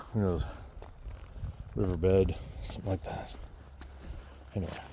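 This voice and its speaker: Audible room echo surrounds a man whose very deep, low pitch moves at a moderate pace. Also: ordinary pitch variation. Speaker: vlogger on own land. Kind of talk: casual walk-and-talk vlog. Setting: outdoors on a hike. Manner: whispering at times.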